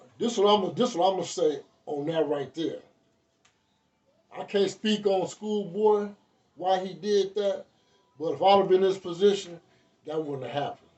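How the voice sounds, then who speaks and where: Speaking with an American accent, a man with a high pitch and ordinary pitch variation keeps a moderate pace broken by long, frequent pauses. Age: 60s. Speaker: former prison gang member. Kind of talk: casual storytelling interview. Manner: halting, repetitive.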